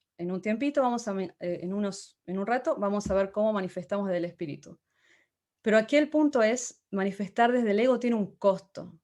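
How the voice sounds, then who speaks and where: Against a quiet background, a woman with a dark, mellow tone speaks fairly quickly at a medium pitch with ordinary pitch variation. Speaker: motivational speaker. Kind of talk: talk. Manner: halting.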